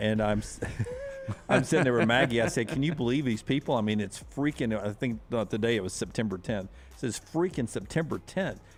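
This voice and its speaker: The speaker has a Southern US accent and lively intonation. The pace is fairly quick, with noticeable background noise. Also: man, medium pitch for a man. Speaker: sports radio host. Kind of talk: casual chat.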